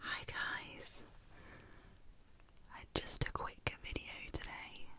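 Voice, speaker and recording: Someone whispers in a soothing tone at a very slow pace. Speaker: ASMR artist and illustrator. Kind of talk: ASMR whisper video. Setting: binaural microphone, close up. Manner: whispered, soothing. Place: home room. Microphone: studio mic.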